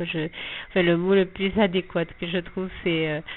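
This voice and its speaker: Over noticeable background noise, a woman at medium pitch speaks at a fairly slow pace in a monotone, flat intonation. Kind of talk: spiritual testimony. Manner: halting, many repetitions and hesitations.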